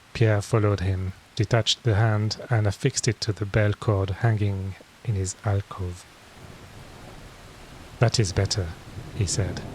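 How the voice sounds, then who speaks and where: In a French accent, a man talks at a fairly low pitch, fairly slowly, with long, frequent pauses and fairly even intonation. His voice is somewhat breathy, and the sound is dry and close with no echo. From France. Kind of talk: bedtime story reading.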